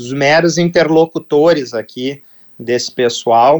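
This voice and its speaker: Speech moves at a fairly slow pace. The pitch varies in an ordinary way. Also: man. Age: 40s. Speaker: football club executive. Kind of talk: radio interview. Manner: halting, with repetitions.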